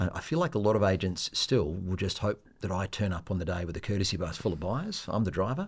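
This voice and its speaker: A somewhat breathy, fairly low-pitched man at a very fast pace with hardly any pauses. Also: ordinary pitch variation, very clean recording, silent background. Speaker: auctioneer. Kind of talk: podcast interview answer.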